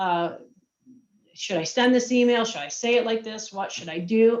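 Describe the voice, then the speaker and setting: In a room with audible echo, a woman with a fairly high pitch speaks in an energetic tone at a moderate pace, with ordinary pitch variation and long, frequent pauses. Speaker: marketing and communications executive. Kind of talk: virtual presentation.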